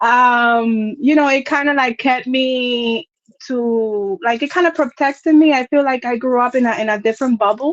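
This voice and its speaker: A woman speaks with a slight Dominican accent and ordinary pitch variation. The sound is dry and close with no echo, over a quiet background. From Dominican Republic. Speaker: content creator. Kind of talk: casual chat.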